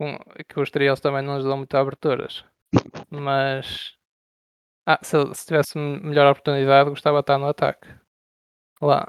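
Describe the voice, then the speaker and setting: Recorded very cleanly against a silent background, a man with a fairly high pitch speaks at a moderate pace in a monotone, flat intonation, with big swings in loudness and long, frequent pauses. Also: dry, close sound with no echo. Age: 20s. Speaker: online strategy game player. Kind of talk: casual interview. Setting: Discord voice call.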